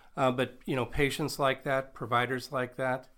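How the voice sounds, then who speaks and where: At a moderate pace, a man with an American accent talks at a medium pitch. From Nebraska. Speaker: physician and medical professor. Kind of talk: interview. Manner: polished broadcaster delivery.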